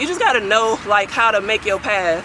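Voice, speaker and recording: Someone with an American accent speaks at a fairly quick pace against noticeable background noise. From East St. Louis, Illinois. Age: 20s. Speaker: entrepreneur. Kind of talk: interview. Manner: casual.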